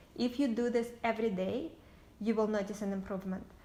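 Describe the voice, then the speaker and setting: With a slight Russian accent, a woman speaks at a fairly high pitch and a moderate pace, with ordinary pitch variation. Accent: light Russian. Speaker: entrepreneur. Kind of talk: casual talk to camera.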